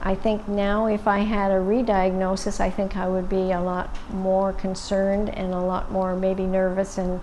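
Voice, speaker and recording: A woman at a medium pitch keeps a moderate pace with hardly any pauses and a monotone, flat intonation in a room with audible echo. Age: 60s. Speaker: breast cancer survivor. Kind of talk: testimony.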